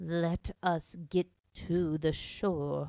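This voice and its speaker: A put-on character voice, shaky and at a middle pitch. It moves at a very slow pace. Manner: low, trembling with passion.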